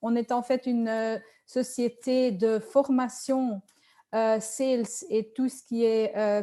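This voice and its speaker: Speaking at a very slow pace with a Dutch accent, a woman uses a high pitch, fairly even intonation and a dark, mellow tone. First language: Dutch (speaking French). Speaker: sales trainer and coach. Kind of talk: webinar presentation. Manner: hesitant, many fillers.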